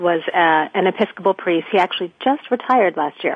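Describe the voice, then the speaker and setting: A woman's normal speaking voice, medium in pitch, with lively intonation and an American accent. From Florida. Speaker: soap opera actress. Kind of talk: casual interview.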